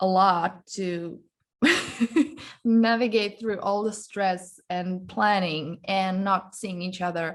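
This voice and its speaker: In a quiet background, a woman with a non-native accent speaks at a very slow pace. Her pitch is medium and her intonation fairly even. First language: not English. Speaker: guest on relationships podcast. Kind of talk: casual interview chat.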